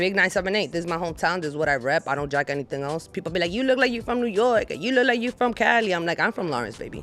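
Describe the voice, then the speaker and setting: Over music in the background, a woman talks very fast with hardly any pauses, her fairly low voice swinging very widely in pitch. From Dominican Republic. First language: Spanish. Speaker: business owner. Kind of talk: casual chat. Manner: animated.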